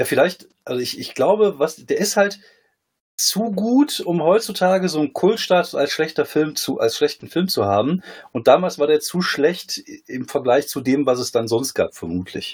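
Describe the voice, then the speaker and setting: Speaking at a moderate pace, a man with a high voice swings his pitch very widely. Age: 40s. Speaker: comedian and former poetry slammer. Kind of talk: casual chat.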